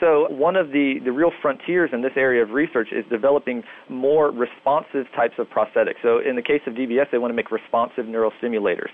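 Talking at a fairly quick pace with hardly any pauses, a man keeps a medium pitch with ordinary variation. There is noticeable background noise. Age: 30s. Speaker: neuroscience researcher. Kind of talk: interview.

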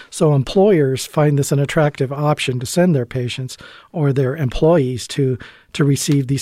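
A man speaks at a moderate pace in a fairly high pitch. He has a plain, everyday voice. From Canada. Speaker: emergency physician. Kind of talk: interview. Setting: studio.

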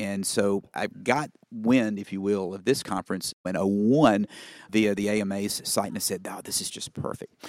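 Speaking with a Southern US accent, a man with a fairly low pitch keeps a fairly even intonation on a very clean recording with a silent background and a dry, close sound with no echo. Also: moderate pace. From Mississippi Delta, US South. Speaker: family physician and medical association president. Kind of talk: interview conversation. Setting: conference interview. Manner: conversational with fillers, anecdotal.

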